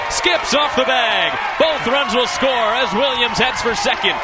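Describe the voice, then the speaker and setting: A man's extremely high-pitched voice at a fairly slow pace, with noticeable background noise. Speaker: sports broadcaster. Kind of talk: baseball radio play-by-play highlights. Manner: excited.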